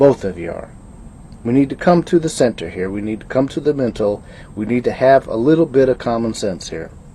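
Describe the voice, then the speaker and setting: A man talks at a fairly quick pace and medium pitch, somewhat breathy and dark and mellow in tone. His loudness swings widely. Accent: American. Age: 60s. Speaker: video blogger. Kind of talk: casual monologue. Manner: halting.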